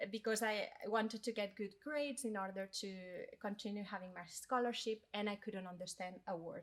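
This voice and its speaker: A medium-pitched woman in a Spanish accent, at a moderate pace with fairly even intonation. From Spain. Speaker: corporate education manager, DEI leader. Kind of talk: podcast interview, personal story. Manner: hesitant, with fillers.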